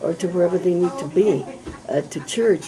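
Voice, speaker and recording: Noticeable background noise surrounds a woman who talks at a moderate pace with a fairly low pitch. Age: 70s. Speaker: state senator. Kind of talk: candidate interview.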